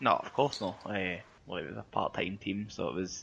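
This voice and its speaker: With a Glasgow accent, a man with a very deep, low pitch and vocal fry speaks at a moderate pace with ordinary pitch variation over a quiet background. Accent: Scottish (Glasgow area). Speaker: football podcast co-host. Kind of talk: casual chat.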